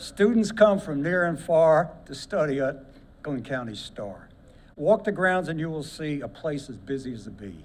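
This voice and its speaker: With an American accent and a fairly high pitch, a man speaks at a moderate pace with lively intonation in a room with audible echo. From Brooklyn, New York. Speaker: war veteran and poet. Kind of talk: reading aloud a poem. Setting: ceremony with audience.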